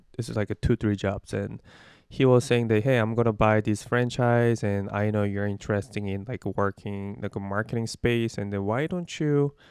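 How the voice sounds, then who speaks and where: A man with a Korean accent, fairly low pitch, ordinary pitch variation, and a moderate pace, in a dry, close sound with no echo on a very clean recording with a silent background. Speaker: digital marketer. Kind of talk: interview. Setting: call. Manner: halting.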